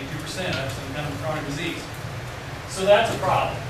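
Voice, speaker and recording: The speech moves at a fairly quick pace. Loud background noise and audible room echo are present. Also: man. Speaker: university professor and researcher. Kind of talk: seminar lecture. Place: classroom. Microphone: camera far.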